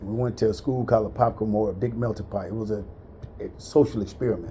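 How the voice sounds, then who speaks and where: Noticeable background noise sits behind this voice. A man speaks very fast at medium pitch, with ordinary pitch variation. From US South, central Florida. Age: 60s. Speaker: military veteran. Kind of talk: casual chat, life story.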